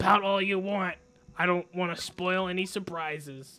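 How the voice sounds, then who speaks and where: A man does a put-on character voice, growling at a high pitch. He keeps a moderate pace and fairly even intonation. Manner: playfully teasing.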